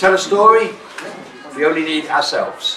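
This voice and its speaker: In a southern English accent, a man with a high pitch talks at a moderate pace amid noticeable background noise and audible room echo. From England (London). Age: 70s. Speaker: drama teacher. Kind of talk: workshop talk to students.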